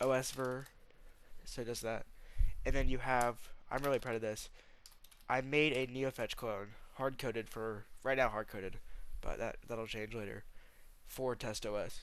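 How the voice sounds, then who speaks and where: A man speaks at a medium pitch and a moderate pace. His intonation is monotone and flat, with long, frequent pauses. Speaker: hobbyist programmer, YouTuber. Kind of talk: casual software demo tutorial. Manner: halting, many fillers and false starts; casual, informal.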